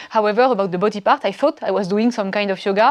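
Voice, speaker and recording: Here a woman speaks with a French accent. Her pitch is fairly high, with fairly even intonation. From France. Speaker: yoga training student, entrepreneur. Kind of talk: testimonial interview. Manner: hesitant, many fillers.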